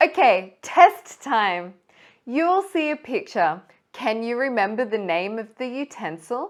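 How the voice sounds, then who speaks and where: On a very clean recording with a silent background, a woman speaks at a fairly slow pace in a high pitch with very wide pitch swings. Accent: Australian. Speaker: English teacher. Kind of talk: pronunciation lesson to camera. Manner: slow, clear.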